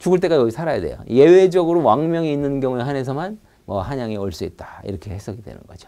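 At a very fast pace, a man with a dark, mellow tone speaks with very wide pitch swings and big swings in loudness. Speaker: lecturer. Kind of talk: lecture. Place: studio. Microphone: lapel.

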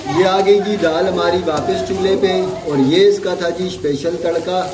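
Over clear background noise, a man talks in a high voice with fairly even intonation. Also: moderate pace.

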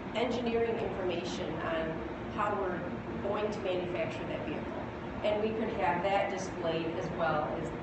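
A woman speaks at a moderate pace with audible room echo. Loud background noise runs underneath. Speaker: company lab guide. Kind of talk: press demo explanation. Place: hall. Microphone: camera far.

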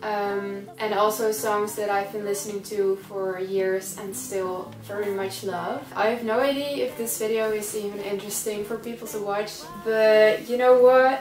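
Noticeable background noise sits behind a woman who talks fairly slowly with fairly even intonation. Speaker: vlogger. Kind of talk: casual vlog chat. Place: home room. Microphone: camera far.

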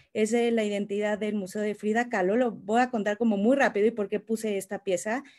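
A woman talks at a fairly quick pace in a monotone, flat intonation with hardly any pauses, against a quiet background. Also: fairly high pitch for a woman. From Mexico. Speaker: creative director at ad agency; panelist. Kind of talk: panel discussion, casual. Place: home room. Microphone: video call.

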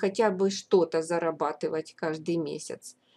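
The recording is very clean, with a silent background, as a woman speaks. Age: old. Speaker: YouTuber. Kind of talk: vlog monologue.

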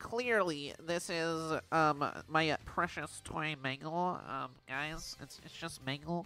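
At a very slow pace, a put-on character voice speaks at a middle pitch. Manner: mocking, nasal, smug.

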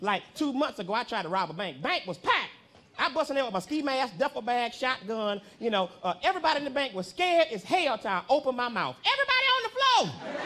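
A man's raised, projected voice at an extremely high pitch, very fast, with very wide pitch swings. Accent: American. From Southern US. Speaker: comedian. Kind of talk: stand-up comedy set. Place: stage. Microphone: handheld.

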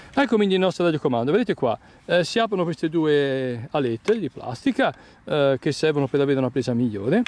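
A man's fairly high, slightly mellow voice with big pitch swings, at a fairly quick pace with few pauses.

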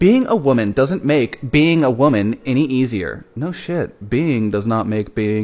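The clip is plain reading aloud. Its intonation is lively.

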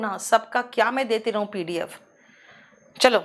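Against a quiet background, a woman speaks in an animated tone with lively intonation at a fairly slow pace. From India. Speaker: English teacher. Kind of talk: lecture. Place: studio.

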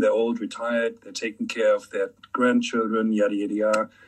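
With a quiet background, a man talks at a fairly quick pace. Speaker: filmmaker and screenwriter. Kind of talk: panel discussion. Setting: online audio room.

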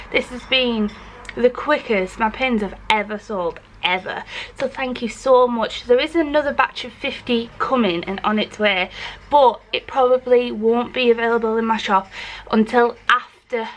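Moderate speed carries the delivery. Its pitch moves up and down to an ordinary degree. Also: woman, high pitch for a woman. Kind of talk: casual vlog chat. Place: workshop. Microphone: phone near.

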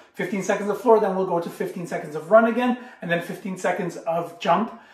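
Room echo clearly audible around a male voice. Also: quiet background. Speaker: school gym teacher. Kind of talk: tutorial. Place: kitchen. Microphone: camera far.

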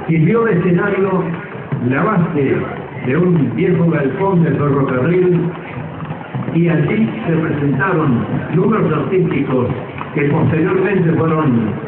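A man's fairly high voice at a fairly slow pace with ordinary pitch variation, amid audible room echo and noticeable background noise. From Argentina, Córdoba. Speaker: veteran radio announcer. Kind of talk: public speech at a festival homage. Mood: grateful, reminiscent. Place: stage.

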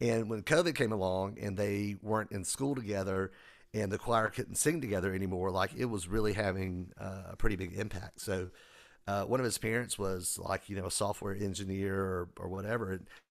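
A man's fairly low voice at a moderate pace, fairly even in intonation, on a very clean recording with a silent background. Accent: Southern US. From US South, South Carolina. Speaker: music technology teacher and author. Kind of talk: casual interview chat. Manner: hesitant, many fillers.

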